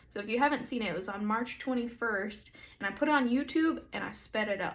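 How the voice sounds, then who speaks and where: In a room with audible echo, a woman speaks somewhat breathily at a moderate pace with ordinary pitch variation. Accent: American. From US South (Dallas, then Arkansas). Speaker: pastor. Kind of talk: casual talk to camera. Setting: livestream video.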